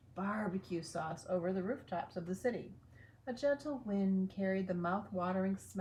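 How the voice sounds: A natural reading voice with pitch moving in an ordinary way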